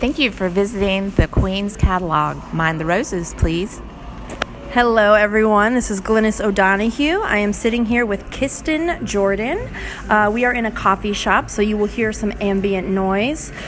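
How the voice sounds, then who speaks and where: A woman speaks at a moderate pace and medium pitch with ordinary pitch variation, with noticeable background noise behind her. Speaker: podcast host. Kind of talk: casual interview. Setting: coffee shop. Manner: animated.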